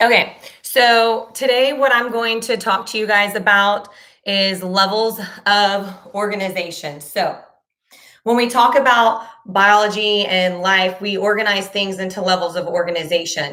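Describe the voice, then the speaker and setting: Audible room echo surrounds a woman speaking at a medium pitch in a bright, sharp tone. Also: ordinary pitch variation. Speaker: middle school science teacher. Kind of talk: live online class teaching. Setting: YouTube livestream. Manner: casual, many filler ums.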